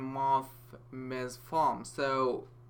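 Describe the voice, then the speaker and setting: At a very slow pace, a man speaks with a fairly high pitch in a bright, sharp tone. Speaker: programming tutor. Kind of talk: coding tutorial screencast. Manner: casual, hesitant, many fillers.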